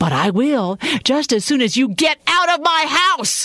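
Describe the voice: A woman performs a put-on character voice with big pitch swings. Her high pitch carries a fairly bright tone at a fairly slow pace.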